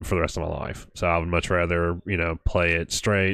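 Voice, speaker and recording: Someone speaks at a moderate pace in a Southern US accent against a quiet background. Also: man. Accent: Southern American. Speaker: weather livestream host. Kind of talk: live weather coverage. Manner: casual, full of fillers.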